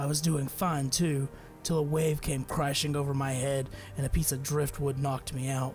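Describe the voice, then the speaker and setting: A man's gravelly, put-on character voice at a fairly high pitch and moderate pace, with clear music in the background. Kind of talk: gritty first-person voice-over. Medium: machinima. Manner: dry, sardonic, world-weary.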